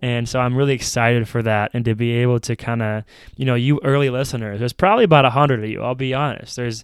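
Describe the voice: A man with an American accent talks at a fast pace, at a medium pitch. His tone is clear and smooth, with fairly even intonation.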